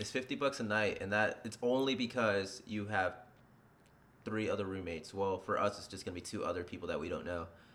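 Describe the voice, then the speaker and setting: Here a man speaks at a fairly quick pace, with a fairly low pitch and ordinary pitch variation. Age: 20s. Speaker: podcast co-host. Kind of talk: casual chat.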